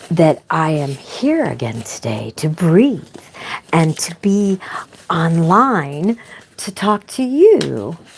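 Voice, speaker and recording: Noticeable background noise sits behind a woman speaking very slowly. Her fairly low voice swings very widely in pitch. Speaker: spiritual vlogger. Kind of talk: inspirational monologue. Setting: online video.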